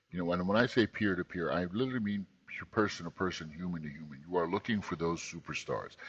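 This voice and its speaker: Against a quiet background, a man talks at a fairly quick pace. His voice is very deep and low. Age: 40s. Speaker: tech company CEO. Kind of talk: interview.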